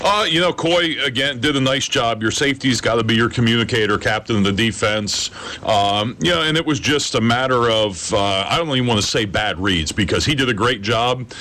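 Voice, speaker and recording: Medium-pitched male speech at a fairly quick pace, with ordinary pitch variation, very even loudness and hardly any pauses, against noticeable background noise. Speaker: football head coach. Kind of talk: casual interview. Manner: relaxed, conversational, uses fillers.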